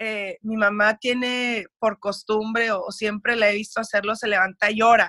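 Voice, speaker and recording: A woman speaks fairly slowly with a Mexican accent. Her tone is bright and sharp, and the sound is dry and close with no echo. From US, raised by Mexican family, schooled in Mexico. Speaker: radio producer. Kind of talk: interview conversation. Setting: video call.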